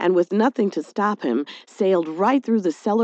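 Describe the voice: The pitch moves in an ordinary way. It is plain reading aloud.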